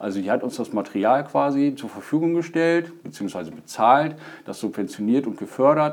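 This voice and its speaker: Lively intonation marks this man's fairly high voice. He talks at a fairly quick pace. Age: 30s. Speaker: stand-up paddling instructor and hobby racer. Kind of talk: podcast interview. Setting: studio. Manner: hesitant, many fillers.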